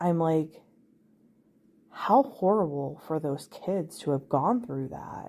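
Speaking very slowly, a woman with a fairly low pitch lets her voice swing very widely. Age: 30s. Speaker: podcast host. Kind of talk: solo monologue. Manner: hesitant, frequent fillers.

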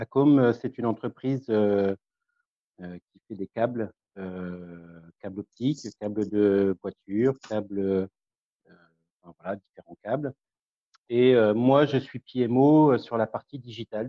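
A man's fairly low voice at a very slow pace, with ordinary pitch variation, big swings in loudness and long, frequent pauses. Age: 40s. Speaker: project management officer. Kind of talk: group discussion.

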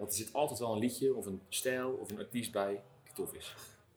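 The speaker is a man with a medium-pitched voice. He talks at a moderate pace. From Netherlands, Dordrecht. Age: 50s. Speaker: record shop owner. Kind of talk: interview monologue. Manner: halting.

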